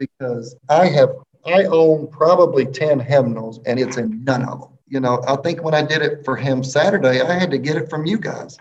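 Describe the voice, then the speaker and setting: Hardly pausing, the speaker talks with a Mississippi accent, ordinary pitch variation and big swings in loudness. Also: man, fairly high pitch for a man, moderate pace. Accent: US Southern (Mississippi). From Mississippi, small town between Jackson and Hattiesburg. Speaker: elementary school teacher. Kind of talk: casual interview chat.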